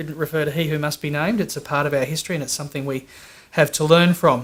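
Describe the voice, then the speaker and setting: In an Australian accent, a man speaks with fairly even intonation and a fairly high pitch. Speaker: employer association executive. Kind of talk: conference talk. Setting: conference with audience.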